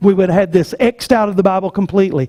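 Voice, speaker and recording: A man's dark, mellow tone with a Southern US accent. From US South. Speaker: pastor. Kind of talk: sermon. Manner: animated.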